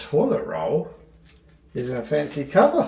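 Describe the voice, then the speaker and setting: A man speaks with noticeable background noise. The room gives off an audible echo. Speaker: travel vlogger. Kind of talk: casual hotel review vlog.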